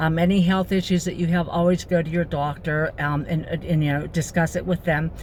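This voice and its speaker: Somewhat breathy and fairly low, a woman's voice stays monotone with flat intonation. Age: 60s. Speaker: vlogger and retired nurse. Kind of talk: personal vlog talk. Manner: hesitant, many fillers.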